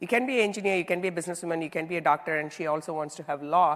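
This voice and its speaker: Over noticeable background noise, a woman with an Indian accent talks at a very fast pace with a fairly low pitch and ordinary pitch variation. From southern India, small town. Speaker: tech executive (CIO). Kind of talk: onstage interview.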